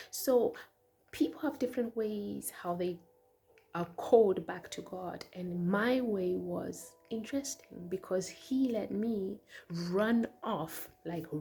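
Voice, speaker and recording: A woman speaks at a very slow pace and medium pitch, her intonation lively. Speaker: musician and vlogger. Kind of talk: personal testimony. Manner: halting with repetitions.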